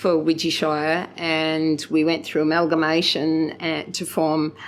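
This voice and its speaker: A woman with an Australian accent. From Kenilworth, Queensland, Australia. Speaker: former local councillor. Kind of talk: oral history interview answer.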